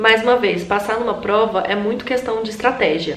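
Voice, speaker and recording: The speaker keeps a fairly even intonation while noticeable background noise and audible room echo fill the space. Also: woman. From Brazil, Tocantins (Gurupi). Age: 20s. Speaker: medical student and video blogger. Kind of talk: casual advice vlog.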